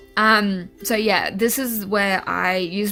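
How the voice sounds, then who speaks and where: A woman at medium pitch with a New Zealand accent, music in the background. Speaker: artist. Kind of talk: casual voice-over narration.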